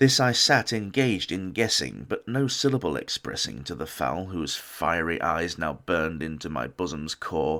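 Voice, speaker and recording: A man with a very deep, low pitch and vocal fry speaks at a moderate pace with lively intonation and a bright, sharp tone, recorded very cleanly against a silent background. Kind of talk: poetry reading.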